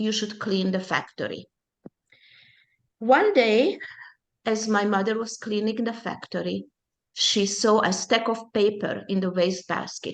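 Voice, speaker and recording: A woman with a Hungarian accent speaks at a fairly high pitch, her intonation fairly even, pausing long and often against a quiet background. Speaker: Holocaust survivors' daughter, presenter. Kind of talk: personal testimony talk. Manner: halting, with self-corrections.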